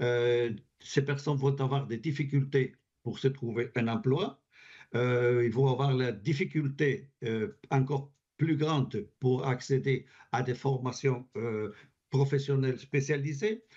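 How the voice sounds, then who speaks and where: In a Spanish accent, a man speaks at a very slow pace with a somewhat breathy, dark, mellow tone at medium pitch. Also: ordinary pitch variation. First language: Spanish (speaking French). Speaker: advocacy group representative, French teacher. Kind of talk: parliamentary committee testimony. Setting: parliamentary committee hearing. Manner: halting, with repetitions.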